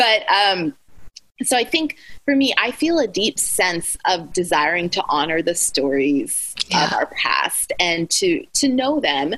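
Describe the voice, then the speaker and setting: Speaking with an American accent, a woman uses a bright, sharp tone at a fairly high pitch with very wide pitch swings, vocal fry and very even loudness. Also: fairly slow pace. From Alaska (Anchorage), US. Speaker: author and speaker. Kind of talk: interview conversation.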